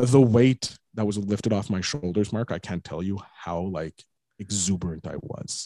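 Dark and mellow in tone, a man's voice comes through at a fairly low pitch with ordinary pitch variation and a moderate pace. The sound is dry and close with no echo, over a quiet background. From Quebec. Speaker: podcast host and digital entrepreneur. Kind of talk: casual interview.

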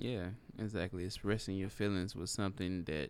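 Very low, deep male speech with mostly level intonation. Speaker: podcast co-host. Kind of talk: casual chat. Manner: laid-back.

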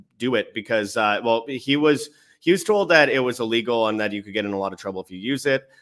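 Someone with a Canadian accent talks at a fairly quick pace in a bright, sharp tone. The recording is very clean, with a silent background. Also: man. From Canada. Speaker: independent journalist and travel documentarian. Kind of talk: interview, casual chat. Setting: live stream.

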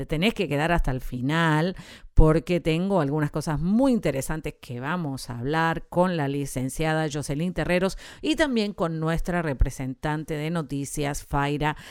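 In a very clean recording with a silent background, a woman with an Argentine accent talks at a fairly slow pace in a very deep, low pitch, her tone animated and her pitch variation ordinary. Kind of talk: radio show intro.

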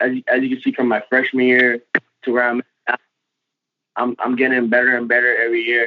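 A man with an American accent and medium pitch talks at a very fast pace in a monotone, flat intonation, broken by long, frequent pauses. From US Virgin Islands and Tampa. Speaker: college baseball pitcher. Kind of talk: interview.

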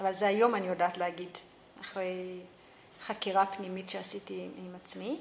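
Over noticeable background noise, a woman speaks at a moderate pace in a medium pitch. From Ethiopia. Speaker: social worker. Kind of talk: interview.

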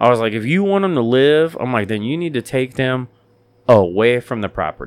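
In a normal speaking voice, a man talks at medium pitch and a fairly quick pace with lively intonation. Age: 30s. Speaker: podcast host. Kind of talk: casual chat. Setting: studio.

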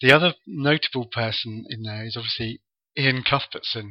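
A man speaks at a medium pitch and a moderate pace. His pitch varies an ordinary amount.

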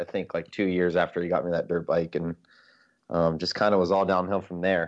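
Man with an American accent, very deep and low, in a monotone, flat intonation. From South Florida. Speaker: rally driver. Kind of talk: casual chat.

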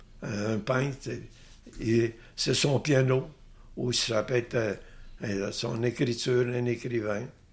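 A man with a Quebec accent speaks at a very slow pace, his medium-pitched voice somewhat breathy, his intonation fairly even, and his speech broken by long, frequent pauses. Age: old. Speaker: painter. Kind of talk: interview. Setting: artist's studio.

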